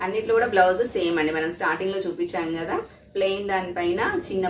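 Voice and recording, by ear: A woman talks at a fast pace amid audible room echo.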